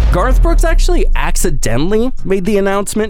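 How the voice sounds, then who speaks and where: Noticeable background noise sits under fairly quick speech. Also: man. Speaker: radio host. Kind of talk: morning radio show.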